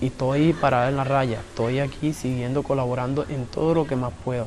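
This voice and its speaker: A man speaks in a plain, everyday voice at medium pitch. He talks at a fairly quick pace, with fairly even intonation. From Colombian Caribbean coast, Cartagena islands. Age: 20s. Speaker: community leader. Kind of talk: interview testimony.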